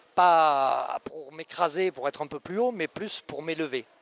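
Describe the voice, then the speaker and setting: At a fairly slow pace, a man with a fairly high pitch and ordinary pitch variation is heard in a dry, close sound with no echo. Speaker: riding instructor and author. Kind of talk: interview answer. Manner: soft, gentle.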